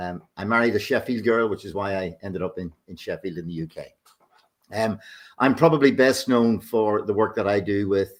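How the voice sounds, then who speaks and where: A man with a Northern Irish accent speaks at a moderate pace and fairly low pitch, with ordinary pitch variation and big swings in loudness. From Northern Ireland. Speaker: business consultant. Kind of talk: self-introduction. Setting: video call.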